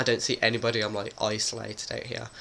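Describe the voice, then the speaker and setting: A man's voice over noticeable background noise. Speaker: vlogger. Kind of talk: casual vlog talk. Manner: hesitant, many fillers.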